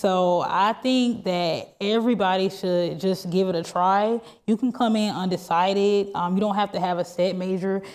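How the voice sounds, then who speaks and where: A woman with an unremarkable speaking voice and medium pitch speaks at a moderate pace with fairly even intonation. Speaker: university student. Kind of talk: onstage interview. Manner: casual.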